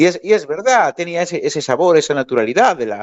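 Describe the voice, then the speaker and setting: A man's voice moves in very wide pitch swings while he keeps a moderate pace. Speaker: bagpipe player and music teacher. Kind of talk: interview conversation.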